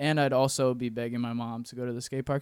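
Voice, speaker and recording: In a very clean recording with a silent background, a man with an American accent talks very fast. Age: 20s. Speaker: photographer and videographer. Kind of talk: casual chat.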